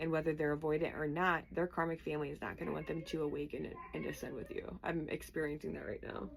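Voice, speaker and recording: A woman speaks at a very fast pace with hardly any pauses. Noticeable background noise runs underneath. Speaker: tarot reader. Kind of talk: tarot reading. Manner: casual and chatty.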